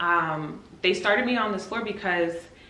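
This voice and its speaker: There is noticeable background noise and audible room echo around this woman's speech. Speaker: nurse. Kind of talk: casual vlog.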